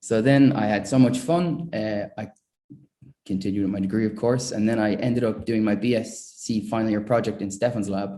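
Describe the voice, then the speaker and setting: A man's fairly low, dark and mellow voice with an Irish accent, fairly even intonation and a fairly quick pace. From Ireland, greater Dublin area (school in Meath). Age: 20s. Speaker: chemistry prize winner, researcher. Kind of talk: award acceptance talk. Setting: online ceremony. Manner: halting, many fillers.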